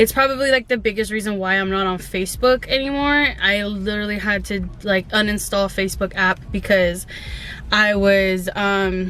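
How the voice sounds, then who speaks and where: A woman speaks with a Spanish accent at a medium pitch and moderate pace. Her pitch variation is ordinary, and there is noticeable background noise. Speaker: vlogger. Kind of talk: casual vlog monologue. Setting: in a parked car. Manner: casual, filler-heavy.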